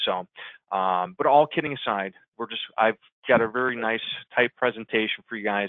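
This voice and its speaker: A man with an American accent, medium-pitched, at a fairly quick pace. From US Midwest, Chicago. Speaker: digital marketing consultant. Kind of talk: webinar presentation. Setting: webinar. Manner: fast.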